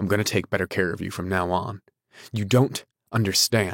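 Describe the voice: The voice is plain reading aloud with fairly even intonation over a quiet background.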